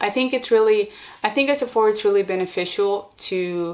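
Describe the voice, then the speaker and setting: This is a very clean recording with a silent background. The woman speaking has a non-native accent. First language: not English. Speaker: podcaster and video creator. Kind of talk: casual monologue. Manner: casual with many fillers.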